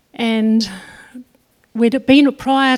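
A woman's fairly high voice with a New Zealand accent. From New Zealand, Northland. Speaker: farmer. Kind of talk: testimony. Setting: church.

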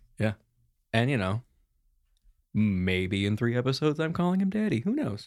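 The pace is moderate and the loudness very even, with very wide pitch swings. The recording is very clean, with a silent background. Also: man, medium pitch for a man. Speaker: tabletop roleplaying game player. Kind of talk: actual play roleplaying game session.

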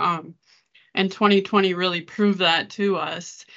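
A woman with an American accent and a plain, everyday voice, at a medium pitch and a moderate pace. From Minnesota. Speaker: charity ministry worker. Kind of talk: testimony.

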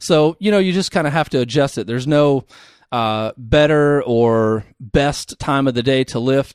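A man with a plain, everyday voice talks at a fairly slow pace with ordinary pitch variation. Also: fairly high pitch for a man, dry, close sound with no echo. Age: 30s. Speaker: certified personal trainer. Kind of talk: casual interview. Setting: studio, sharing one mic.

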